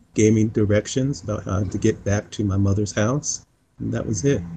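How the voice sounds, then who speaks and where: The voice has a dark, mellow tone and is somewhat breathy. It carries an American accent. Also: man. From US East (Pennsylvania / North Carolina). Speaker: civic engagement leader and musician. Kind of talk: interview conversation. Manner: hesitant, many fillers.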